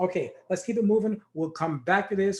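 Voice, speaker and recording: The voice belongs to a man. He keeps his intonation fairly even. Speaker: trading educator. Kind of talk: tutorial.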